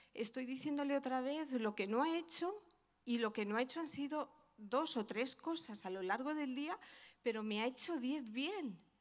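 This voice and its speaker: This woman has a high pitch and ordinary pitch variation. Her pace is moderate. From Spain, Madrid (Vallecas); Spain. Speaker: pastor's wife; guest. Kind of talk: testimony. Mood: warm, heartfelt. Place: church. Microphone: handheld.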